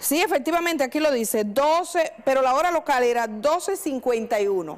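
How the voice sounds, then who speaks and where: Over noticeable background noise, a high-pitched woman speaks with lively intonation and very even loudness. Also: fairly quick pace. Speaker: journalist, radio/TV host. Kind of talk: live call-in show host.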